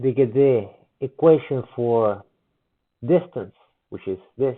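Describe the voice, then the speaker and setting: With a non-native accent, a man speaks at a very slow pace, his medium pitch showing ordinary variation. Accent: heavy non-native. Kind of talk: physics explanation video, response commentary.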